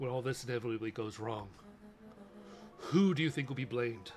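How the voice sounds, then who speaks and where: Putting on a character voice, a man talks at a fairly quick pace with a medium pitch and ordinary pitch variation over clear background noise. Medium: virtual streamer. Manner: haughty, cutting.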